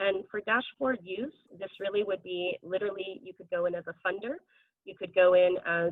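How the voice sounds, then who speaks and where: Fairly quick speech from a woman at a medium pitch. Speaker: research fellow presenting project. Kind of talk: project presentation. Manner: fast.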